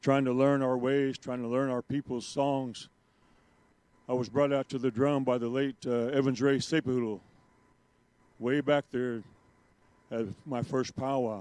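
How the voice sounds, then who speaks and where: In a dry, close recording with no echo, a man with an American accent speaks at a medium pitch and a fairly slow pace, keeping his intonation fairly even. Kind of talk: public speech.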